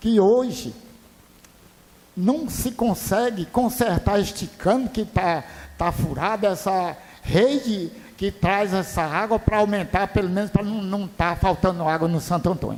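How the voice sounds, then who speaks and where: A man with a high voice speaks very slowly, his pitch varying in an ordinary way. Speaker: city councillor. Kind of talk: public hearing question. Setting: council chamber public hearing. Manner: loud.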